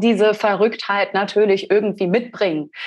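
Over a quiet background, a woman with an unremarkable speaking voice and medium pitch talks at a moderate pace. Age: 30s. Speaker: brand strategy designer. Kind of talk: interview conversation.

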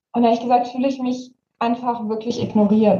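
A woman speaks at a fairly quick pace with a fairly high pitch. Her voice is somewhat breathy. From Germany, Saxony. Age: young (18). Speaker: youth activist. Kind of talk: interview.

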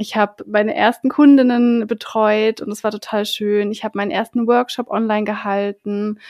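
Speaking at a moderate pace with hardly any pauses, a woman uses a plain, everyday voice at a fairly high pitch, her intonation fairly even and the sound dry and close with no echo. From Berlin, Germany. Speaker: podcast co-host and self-employed coach. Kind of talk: casual chat.

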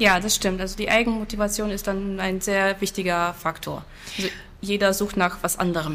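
A woman at a moderate pace in a monotone, flat intonation. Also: medium pitch for a woman. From Poland, Silesia. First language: Silesian (speaking German). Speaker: language teacher. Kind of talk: interview.

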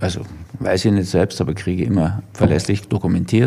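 A man speaks at a moderate pace in a fairly low pitch. His voice is somewhat breathy. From Germany. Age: 70s. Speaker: physician and author. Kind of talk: interview.

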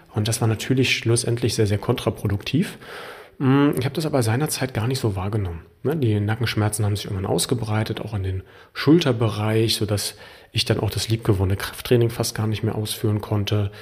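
The voice is somewhat breathy and belongs to a man. He talks at a fairly quick pace. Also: fairly low pitch for a man, ordinary pitch variation. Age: 30s. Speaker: health coach and podcast host. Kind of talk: personal monologue.

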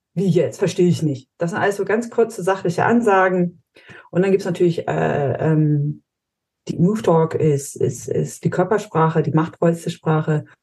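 A woman speaks at a fairly low pitch and a moderate pace, with ordinary pitch variation. Her tone is dark and mellow, and somewhat breathy. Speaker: high impact coach and strengths trainer. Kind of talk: casual interview chat. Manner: blunt, short and snappy.

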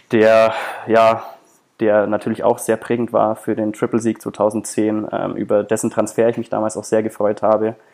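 Speaking in a monotone, flat delivery, a man uses a fairly low pitch at a fairly slow pace. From Germany, half Brazilian. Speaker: sports journalist. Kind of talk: casual chat. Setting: remote recording.

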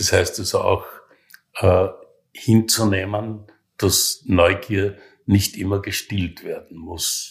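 In a very clean recording with a silent background, a man speaks at a very slow pace with long, frequent pauses. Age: 70s. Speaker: hospice resident with terminal cancer. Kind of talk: interview. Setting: hospice room. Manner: halting.

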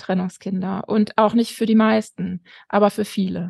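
A woman speaks with flat, monotone intonation. The sound is dry and close with no echo. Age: 40s. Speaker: educator and family counselor, author. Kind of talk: interview. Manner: frequent hesitations.

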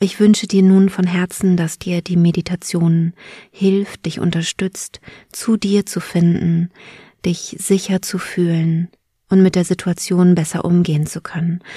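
In a soothing, calm tone, a woman with a fairly low pitch and a dark, mellow, somewhat breathy voice speaks at a fairly slow pace with monotone, flat intonation. The recording is very clean, with a silent background and a dry, close sound with no echo. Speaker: podcast host and birth preparation coach. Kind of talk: guided meditation. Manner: slow, soothing, calm, gentle; soft-spoken, with long pauses.

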